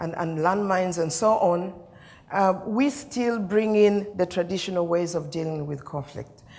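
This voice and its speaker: Female speech with ordinary pitch variation, heard through audible room echo. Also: medium pitch for a woman, moderate pace. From Uganda. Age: 60s. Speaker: peace mediator. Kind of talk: keynote speech. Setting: conference stage with audience. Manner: storytelling, conversational.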